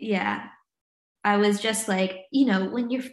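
A woman at a fairly high pitch, somewhat breathy, speaking at a fairly slow pace. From US South, North Carolina and Virginia. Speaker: trauma and recovery coach. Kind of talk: casual interview chat.

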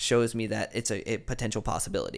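An ordinary speaking voice at a fairly quick pace on a very clean recording with a silent background. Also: man. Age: 20s. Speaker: musician. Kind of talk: casual chat.

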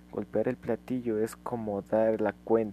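A man speaks in a dark, mellow tone. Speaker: amateur podcaster explaining music. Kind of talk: casual solo explainer monologue. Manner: hesitant, with fillers and restarts.

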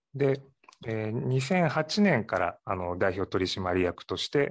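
A man speaks at a very slow pace with lively intonation. The background is quiet. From Ehime, Japan (Matsuyama). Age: 40s. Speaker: sake brewery owner. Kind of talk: interview.

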